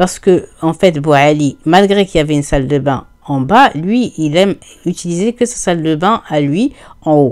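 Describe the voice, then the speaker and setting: A woman at a fairly low pitch talks at a moderate pace with lively intonation and a relaxed, animated tone. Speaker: video creator telling horror stories. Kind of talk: casual chat to viewers. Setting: podcast-style recording at home. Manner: conversational storyteller, relaxed and animated, voicing the characters' dialogue.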